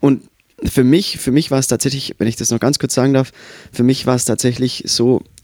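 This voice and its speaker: In an Austrian accent, a man speaks. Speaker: musician. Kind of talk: casual chat.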